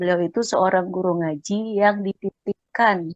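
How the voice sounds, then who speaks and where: A woman with a Sumatran accent speaks fairly slowly at medium pitch, with fairly even intonation and a dry, close sound with no echo. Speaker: Quran study participant. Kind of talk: personal story in a study group.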